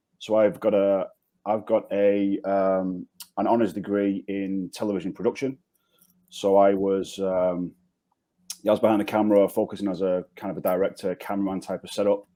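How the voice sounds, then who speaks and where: With a Manchester accent, a man speaks at a moderate pace in a fairly low pitch, his tone dark and mellow and his intonation monotone and flat. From northern England, Manchester. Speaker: insurance agency founder. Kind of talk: podcast interview. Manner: repetitive, hesitant.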